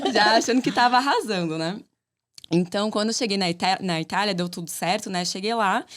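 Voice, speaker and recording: A woman with a medium pitch talks fairly quickly, her pitch varying in an ordinary way. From southern Brazil, Santa Catarina (Chapecó). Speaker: architect, business co-owner. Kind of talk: casual interview chat.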